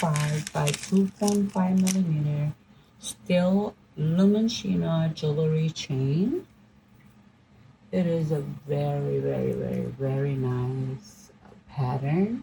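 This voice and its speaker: A woman with a non-native accent speaks very slowly in a very deep, low voice that is dark, mellow and somewhat breathy, her intonation lively. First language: not English. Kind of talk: product unboxing review.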